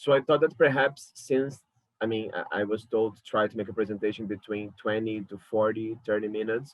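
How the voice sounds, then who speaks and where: Here a man speaks with a Brazilian Portuguese accent at a fairly quick pace. His pitch is medium, with ordinary pitch variation. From Brazil, Rio de Janeiro. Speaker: curator. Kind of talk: lecture. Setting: alone at home talking to a camera. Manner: halting.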